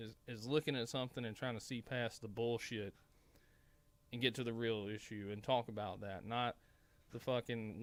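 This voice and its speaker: A man speaks with a strong Southern US accent. His pitch is medium and his pace fairly quick. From Mississippi. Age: 30s. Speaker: political commentator. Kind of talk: casual monologue commentary. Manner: halting, stumbling; animated.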